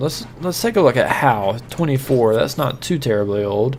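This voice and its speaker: Over noticeable background noise, a man's voice moves at a moderate pace with ordinary pitch variation. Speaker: gaming YouTuber. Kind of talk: game commentary.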